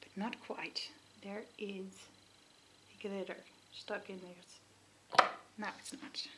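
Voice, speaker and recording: A woman whispers very slowly, leaving long, frequent pauses amid noticeable background noise. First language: not English. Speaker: beauty vlogger. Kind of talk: casual chat. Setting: at home.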